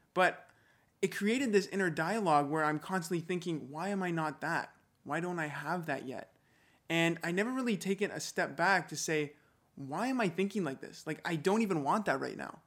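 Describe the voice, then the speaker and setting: Fairly quick speech on a very clean recording, the background silent. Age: 20s. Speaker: podcast host and fitness coach. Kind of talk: motivational monologue. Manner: animated.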